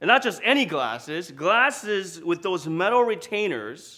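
A man speaks in a bright, sharp tone with very wide pitch swings. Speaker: pastor. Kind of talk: sermon.

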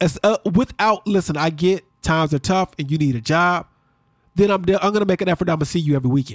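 A man with a high voice talks very fast, his loudness very even and his pitch varying in an ordinary way, in a dry, close recording with no echo and music in the background. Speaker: podcast host. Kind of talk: casual chat.

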